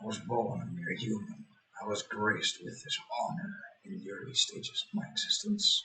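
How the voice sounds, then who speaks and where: A man performs a put-on character voice. It is fairly high in pitch and moves at a moderate pace. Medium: read story. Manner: scheming, commanding.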